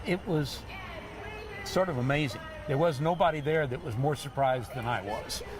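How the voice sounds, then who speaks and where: Against noticeable background noise, a man with a fairly high pitch talks at a moderate pace. His speech has ordinary pitch variation and long, frequent pauses. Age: 70s. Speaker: triathlete. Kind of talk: TV interview.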